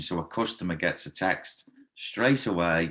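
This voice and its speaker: The recording is very clean, with a silent background. A man with a slight Liverpool accent speaks in a very deep, low voice. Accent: mild Liverpool (Scouse). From Liverpool, England. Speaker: karate instructor. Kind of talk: interview testimonial.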